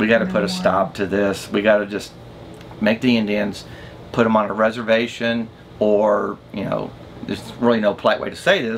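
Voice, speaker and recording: Speaking in a plain, everyday voice, a man with a fairly low pitch and ordinary pitch variation keeps a moderate pace over light background noise. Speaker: RV travel vlogger. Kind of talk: casual vlog chat explaining history. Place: home room.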